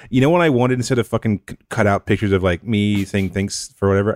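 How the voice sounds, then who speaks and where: A man's fairly low voice at a very fast pace, with ordinary pitch variation and a dry, close sound with no echo. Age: 30s. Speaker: comic book writer. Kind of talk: casual chat.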